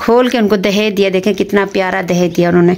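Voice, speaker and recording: A woman keeps her intonation fairly even and her pace moderate. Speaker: family vlogger. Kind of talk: casual vlog chat. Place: home room. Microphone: phone near.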